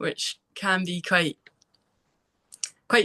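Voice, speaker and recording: A woman's voice has a bright, sharp tone. The sound is dry and close, with no echo. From Scotland, East Lothian. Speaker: former college soccer player. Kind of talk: interview.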